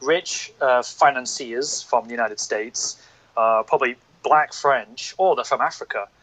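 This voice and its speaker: Dry and close with no echo, a man with a northern English accent speaks at a fairly high pitch with fairly even intonation. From northern England. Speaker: podcast guest. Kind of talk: casual chat.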